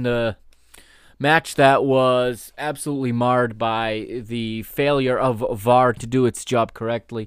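A man speaks at a fairly slow pace in an unremarkable speaking voice, with fairly even intonation and a medium pitch. The recording is very clean, with a silent background. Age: 30s. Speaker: football podcast host. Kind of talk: solo podcast monologue.

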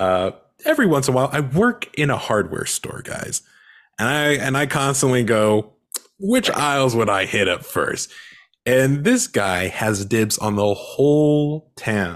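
A man speaks at a fairly slow pace in a medium pitch. It is a normal speaking voice. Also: lively intonation. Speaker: podcast host. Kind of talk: casual podcast chat. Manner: casual, joking.

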